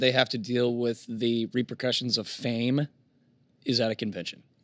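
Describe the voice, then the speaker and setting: A man with a bright, sharp tone and medium pitch talks at a moderate pace. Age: 30s. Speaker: podcast guest, writer. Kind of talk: casual chat. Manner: animated, laughs often.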